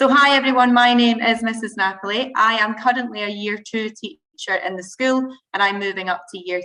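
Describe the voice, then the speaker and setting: A speaker with a Scottish accent talks at a fairly quick pace with ordinary pitch variation. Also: woman. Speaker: primary school teacher. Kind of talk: school presentation to parents. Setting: video call.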